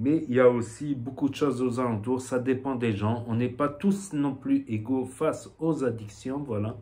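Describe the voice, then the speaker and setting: In a southwestern French accent, the speaker talks with hardly any pauses, ordinary pitch variation and a dark, mellow tone. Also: man, medium pitch for a man. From southwestern France. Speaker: vape youtuber. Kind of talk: casual vlog talk. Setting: home shop with shelves. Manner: hesitant, many fillers.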